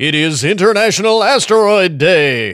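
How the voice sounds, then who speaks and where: A man puts on a high-pitched character voice with a dramatic tone, speaking at a moderate pace in a very clean recording with a silent background. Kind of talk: announcer. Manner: very dramatic, over the top.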